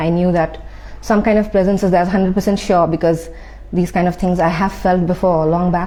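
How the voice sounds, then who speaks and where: Soft-spoken and monotone, a woman speaks with flat intonation at a fairly quick pace. Noticeable background noise is present. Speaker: spiritual content creator. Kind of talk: personal testimony. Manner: halting, many fillers.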